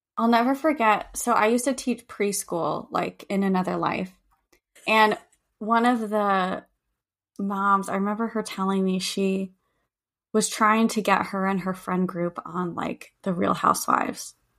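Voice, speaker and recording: A woman speaks at a fairly slow pace in an unremarkable speaking voice. Her medium pitch varies in the ordinary way on a very clean recording with a silent background. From California. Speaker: podcast co-host. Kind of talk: casual chat; reading guest bio aloud.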